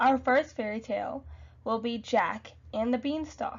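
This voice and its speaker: A woman with a high pitch speaks fairly slowly, her pitch varying in an ordinary way. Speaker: education student. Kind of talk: classroom lesson to young students.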